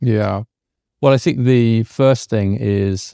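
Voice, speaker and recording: A dark, mellow tone with a British accent, dry and close with no echo, on a very clean recording with a silent background. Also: man. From UK. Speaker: policy scholar and author. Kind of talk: podcast interview. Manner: grounded, measured delivery.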